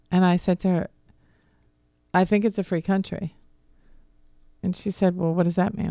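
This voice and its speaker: Speaking in a slight Boston accent, a woman has a dark, mellow tone and a fairly quick pace. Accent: slight Boston accent on certain words. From Philadelphia area, US. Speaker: divorce coach. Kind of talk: radio interview. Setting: radio studio.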